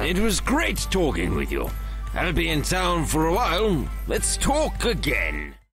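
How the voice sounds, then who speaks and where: A man puts on a raspy character voice at a fairly slow pace. Faint music plays in the background. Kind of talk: video game character dialogue.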